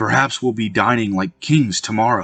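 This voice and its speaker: A man puts on a growling character voice at medium pitch. He keeps a moderate pace. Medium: read story.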